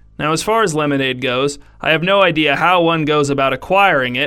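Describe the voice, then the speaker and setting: A man with an unremarkable speaking voice, fairly high pitched, with ordinary pitch variation. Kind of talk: mock-epic fable narration, absurdist scripted storytelling read straight-faced. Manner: dryly ironic, delivering absurd claims with total sincerity.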